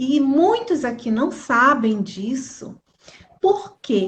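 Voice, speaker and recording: A woman speaks in a high-pitched voice. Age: 60s. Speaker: pastor. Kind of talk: religious live stream talk. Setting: Instagram live.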